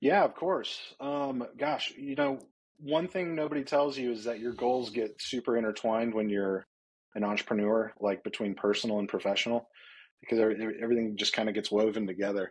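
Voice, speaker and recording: A man with an American accent and medium pitch has an ordinary speaking voice with ordinary pitch variation, heard over a quiet background. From US South, Atlanta. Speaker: startup founder. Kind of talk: casual interview.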